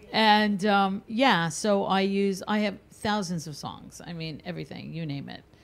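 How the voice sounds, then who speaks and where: With a normal speaking voice, a woman at a medium pitch talks at a fairly slow pace with hardly any pauses, ordinary pitch variation, and big swings in loudness. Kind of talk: casual chat.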